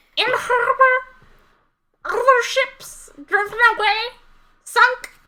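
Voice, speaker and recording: An extremely high-pitched, put-on character voice speaks at a very slow pace. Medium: actual play. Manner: clipped, repetitive fragments.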